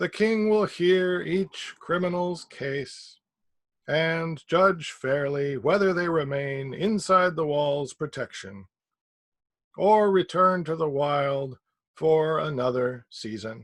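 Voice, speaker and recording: A man uses a put-on, robotic character voice at a fairly high pitch. He speaks at a very slow pace against a quiet background. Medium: read story. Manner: mechanical, halting, fragmented.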